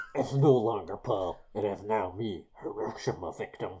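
A man puts on a character voice at a fairly low pitch. His pace is moderate. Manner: silly, spooky.

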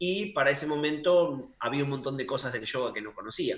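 At a fairly quick pace, a man talks in a fairly high, unremarkable speaking voice. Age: 30s. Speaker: fitness coach. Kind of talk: casual chat.

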